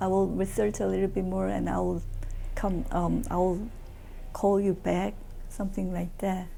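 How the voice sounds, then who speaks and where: A woman is speaking. Audible room echo is present. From South Korea. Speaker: immigrant interviewee. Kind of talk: interview. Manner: halting, many fillers.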